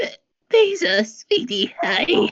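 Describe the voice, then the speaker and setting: This raspy, put-on character voice swings very widely in pitch. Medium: read story. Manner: hesitant, fumbling.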